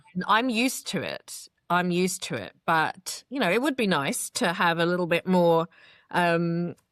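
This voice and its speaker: With an English accent, a woman speaks at a moderate pace and a fairly low pitch with ordinary pitch variation, in a very clean recording with a silent background and a dry, close sound with no echo. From England, London. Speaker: PR and marketing business owner. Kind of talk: interview testimony. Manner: articulate, well-spoken.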